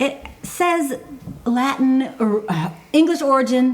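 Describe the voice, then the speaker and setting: A woman's voice with noticeable background noise. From Michigan, raised in Georgia from third grade. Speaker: podcast co-host. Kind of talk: casual chat. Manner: halting, many fillers.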